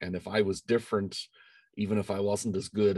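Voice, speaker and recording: Speaking at a fairly quick pace, a man with an Irish accent sounds dry and close, with no echo. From Ireland. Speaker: engineering professor. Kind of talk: interview.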